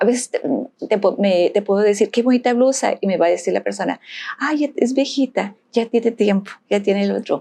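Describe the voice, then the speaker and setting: A woman talks at a moderate pace with a fairly high pitch. Her tone is dark and mellow, with ordinary pitch variation. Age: 60s. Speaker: podcast guest. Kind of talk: casual chat.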